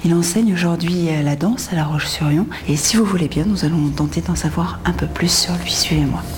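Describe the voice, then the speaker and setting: Whispering from a woman at a fairly quick pace, very even in loudness, with audible room echo and noticeable background noise. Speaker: TV presenter. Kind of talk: interview; presenting to camera. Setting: dance studio.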